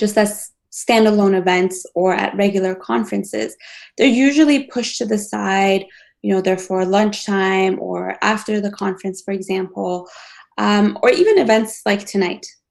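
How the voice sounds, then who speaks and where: A woman with a non-native accent at a medium pitch, ordinary pitch variation and a moderate pace, against a quiet background. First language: not English. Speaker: planetary scientist. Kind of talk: panel discussion. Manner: hesitant, many fillers.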